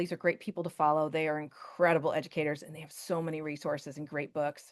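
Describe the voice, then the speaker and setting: Against a quiet background, a woman talks at a very fast pace. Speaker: teacher and Canva presenter. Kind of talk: webinar tutorial with live demo. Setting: video call webinar. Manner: casual, chatty.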